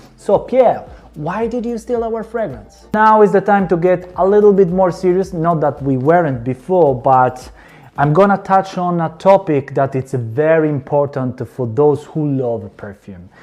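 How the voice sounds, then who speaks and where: A man with an Italian accent, high-pitched, at a fairly slow pace. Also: lively intonation. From Calabria, southern Italy. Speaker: fragrance reviewer. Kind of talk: product review.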